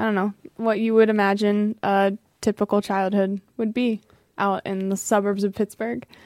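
In a very clean, dry and close recording with a silent background and no echo, a woman with an American accent speaks at a medium pitch and moderate pace in a monotone, flat way. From US, Pennsylvania. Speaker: professional footballer. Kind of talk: casual interview. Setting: studio.

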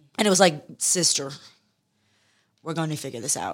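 Against a silent background in a very clean recording, a woman with an American accent speaks fairly quickly in a very deep, low pitch. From US Midwest and Texas (Detroit, then Houston). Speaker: beauty and style journalist and influencer. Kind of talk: casual interview.

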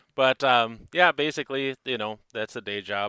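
On a very clean recording with a silent background, a man with a Minnesotan accent speaks at a moderate pace in a bright, sharp tone with ordinary pitch variation and a dry, close sound with no echo. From northern Minnesota. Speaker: knife maker. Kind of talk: casual chat.

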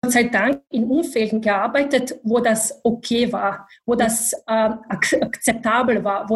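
A woman speaks with a Bosnian accent. Her pitch is fairly high. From Bosnia and Herzegovina. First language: Bosnian (speaking German). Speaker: IT manager. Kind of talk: interview. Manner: halting, many fillers.

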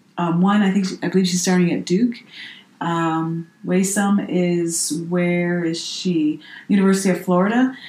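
With a plain, everyday voice, a woman speaks at a fairly low pitch and a moderate pace, her intonation fairly even. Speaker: podcast co-host. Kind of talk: casual chat.

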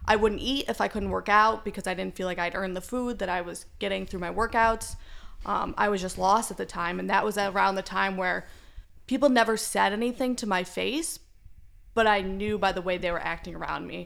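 A woman with vocal fry speaks at a fairly quick pace. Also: medium pitch for a woman, ordinary pitch variation. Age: 20s. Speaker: law student. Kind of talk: casual chat.

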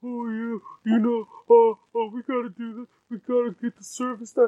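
A put-on character voice with fairly high pitch goes at a moderate pace. The intonation is monotone and flat. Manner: monotone, mocking.

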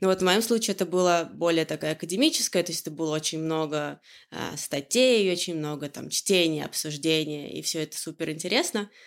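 A woman's fairly low voice at a very fast pace, with ordinary pitch variation, on a very clean recording over a silent background. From Russia, Orenburg region. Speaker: growth hacker, agency partner. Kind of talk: casual interview. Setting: home kitchen. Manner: hesitant, many filler sounds.

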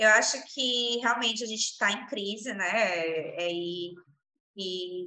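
A woman speaks very slowly at a medium pitch. Her tone is bright and sharp, with ordinary pitch variation. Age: 30s. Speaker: entrepreneur, eyewear shop co-owner. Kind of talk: interview.

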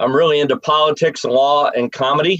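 A man with an American accent, a plain, everyday voice at a fairly high pitch, moderate pace, and a dry, close sound with no echo. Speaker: presidential candidate, comedian. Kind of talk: political debate.

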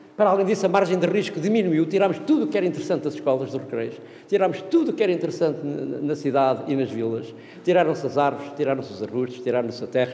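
Amid noticeable background noise and audible room echo, a man with a fairly high voice talks very fast. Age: 60s. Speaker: professor. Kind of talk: seminar talk. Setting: conference room with audience. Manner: animated.

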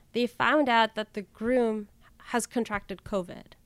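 A woman at a fairly slow pace on a very clean recording with a silent background. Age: 30s. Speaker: youth minister and podcaster. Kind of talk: casual interview chat.

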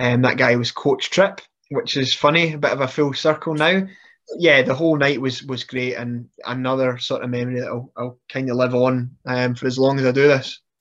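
A man with a Scottish accent at a moderate pace, his intonation fairly even, over a quiet background. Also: medium pitch for a man. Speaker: professional wrestler. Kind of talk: casual interview chat.

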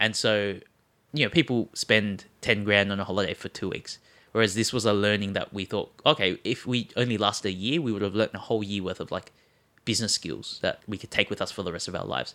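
On a very clean recording with a silent background, a man with an Australian accent speaks fairly quickly in a bright, sharp tone, at a fairly low pitch with ordinary pitch variation. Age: 20s. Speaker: sneaker marketplace co-founder. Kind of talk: casual interview.

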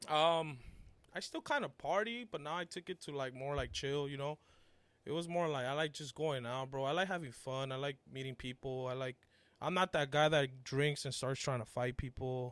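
At a moderate pace, the speaker uses ordinary pitch variation in a dry, close sound with no echo. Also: man, fairly high pitch for a man. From Mexico, raised South Central Los Angeles. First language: Spanish. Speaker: artist and landscaper. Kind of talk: casual chat.

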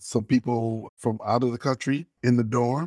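A man speaks with an American accent in an unremarkable speaking voice, at a medium pitch with fairly even intonation. The sound is dry and close with no echo, in a very clean recording over a silent background. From Detroit, Michigan. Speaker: former teacher, airline employee. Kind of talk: interview, personal reminiscence.

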